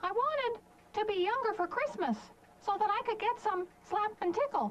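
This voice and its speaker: A woman at a moderate pace puts on a squeaky character voice with an extremely high pitch. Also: ordinary pitch variation. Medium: audio drama. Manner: rambling, earnest.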